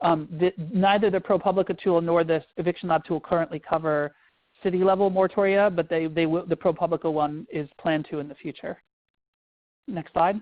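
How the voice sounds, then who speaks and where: A woman with a fairly low pitch speaks at a fairly quick pace with fairly even intonation. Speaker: legal advocacy presenter. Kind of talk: webinar presentation. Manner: fast.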